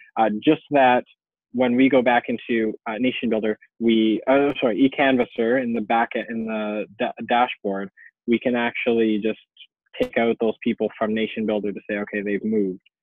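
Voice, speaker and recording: At a moderate pace, a man speaks with monotone, flat intonation at medium pitch. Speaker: campaign organizer. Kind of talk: tutorial. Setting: webinar. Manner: many fillers and hesitations.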